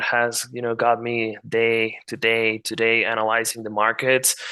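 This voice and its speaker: With a Spanish accent, a man talks in a bright, sharp tone. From Mexico. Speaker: market analyst. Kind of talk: interview with screen-share tutorial.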